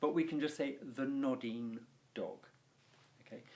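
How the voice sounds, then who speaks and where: A man in an RP accent with very wide pitch swings. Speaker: Latin teacher. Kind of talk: tutorial. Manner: animated.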